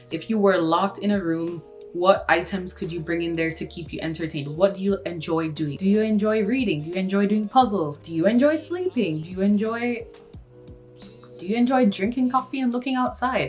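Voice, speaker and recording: Over music in the background, a woman speaks at a fairly quick pace in a medium pitch, with lively intonation and big swings in loudness. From Kingston, Jamaica. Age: 20s. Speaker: university student, YouTuber. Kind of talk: casual talk to camera.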